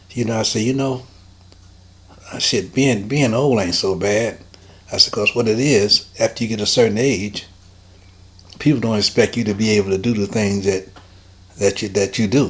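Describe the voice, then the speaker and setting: A man's fairly low, fairly even voice at a moderate pace, with long, frequent pauses and noticeable background noise. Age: 80s+. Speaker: soul singer. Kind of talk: oral history interview.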